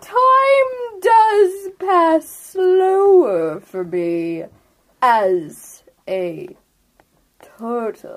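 Using a put-on character voice at an extremely high pitch, a woman speaks at a very slow pace with long, frequent pauses. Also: ordinary pitch variation.

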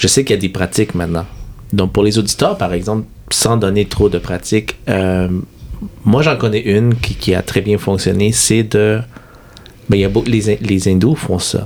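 A man's fairly low voice at a moderate pace, with fairly even intonation and noticeable background noise. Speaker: podcast host. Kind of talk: interview.

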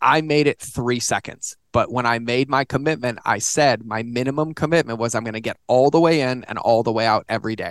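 In an ordinary speaking voice, a man at medium pitch talks at a fairly quick pace with hardly any pauses and fairly even intonation, the sound dry and close with no echo over a quiet background. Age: 40s. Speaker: author and digital marketing consultant. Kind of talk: casual chat. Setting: home office studio.

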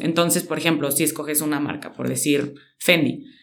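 The recording carries audible room echo. Speech moves at a fairly slow pace. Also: woman. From Mexico, San Luis Potosí. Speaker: fashion stylist and content creator. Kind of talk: interview.

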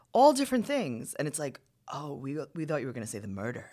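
In a New York accent, the speaker talks in an animated tone. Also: woman, very clean recording, silent background. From New York, Queens. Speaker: stand-up comedian and podcast host. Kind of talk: casual chat. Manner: projecting.

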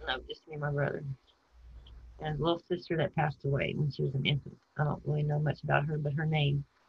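Talking very fast in a Texan accent, a woman uses a very deep, low, somewhat breathy voice with monotone, flat intonation. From Texas, San Antonio and Houston. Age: 50s. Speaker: person telling her life story. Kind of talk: interview.

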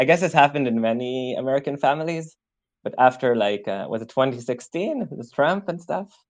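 A man with an Israeli accent and lively intonation. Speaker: student and activist. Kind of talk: casual interview.

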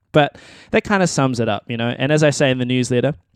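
The man's pitch is medium and his intonation fairly even. Behind him the background is quiet. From New Zealand. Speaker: musician and podcast host. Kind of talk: solo monologue podcast. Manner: casual, hesitant with many ums and repeats.

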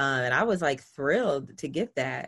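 Speaking at a moderate pace, a woman talks. She has a Southern US accent. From US South. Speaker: personal finance entrepreneur. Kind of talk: interview.

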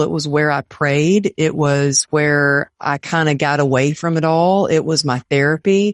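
A woman with an American accent speaks at a very deep, low pitch with ordinary pitch variation, in a dry, close sound with no echo and a quiet background. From Texas. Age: 50s. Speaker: motivational speaker. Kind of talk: interview.

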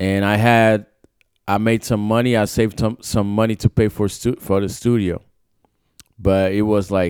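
A man with a Brazilian accent speaks at a fairly low pitch and fairly slow pace in a monotone, flat way, the sound dry and close with no echo. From Sao Paulo, Brazil. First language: Portuguese. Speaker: pro skater and rapper. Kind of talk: casual interview chat. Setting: studio.

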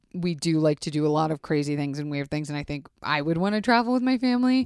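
A woman with a very deep, low pitch talks at a very fast pace in an animated tone. Her pitch swings very widely on a very clean recording with a silent background. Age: 30s. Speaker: podcast host. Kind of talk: casual chat.

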